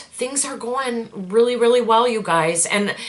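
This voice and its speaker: A woman speaks at a fairly slow pace with lively intonation, and there is noticeable background noise. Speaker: lifestyle vlogger and small business owner. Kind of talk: casual vlog update. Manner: digressive, chatty with fillers.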